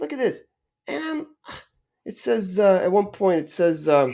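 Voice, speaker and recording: The recording is very clean, with a silent background. A man with a dark, mellow tone speaks at a moderate pace with lively intonation. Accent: American. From Arizona (Tucson), early childhood in Indiana. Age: 50s. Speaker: podcaster. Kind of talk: casual monologue. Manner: halting, many fillers and repetitions.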